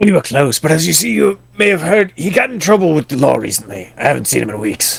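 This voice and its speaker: A man performs a put-on character voice at a very fast pace with hardly any pauses. His pitch is fairly high with very wide swings. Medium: game stream. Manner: unctuous, formal clergy speech.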